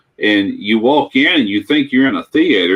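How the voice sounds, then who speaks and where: A man with an ordinary speaking voice, medium pitch, ordinary pitch variation, and a moderate pace. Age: 60s. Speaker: livestream participant. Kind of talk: casual chat.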